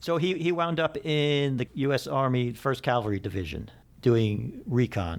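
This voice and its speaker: A man with a medium pitch speaks in an ordinary speaking voice at a moderate pace. His intonation is lively, and the recording is very clean with a silent background. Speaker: podcast host. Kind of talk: podcast host narration and interview questions.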